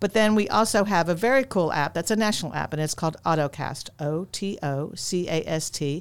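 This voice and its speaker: Speaking at a fairly quick pace with a very deep, low pitch, a woman with an American accent uses ordinary pitch variation in a very clean recording with a silent background. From Long Island, New York. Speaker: arts council executive director. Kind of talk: casual interview chat. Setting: studio.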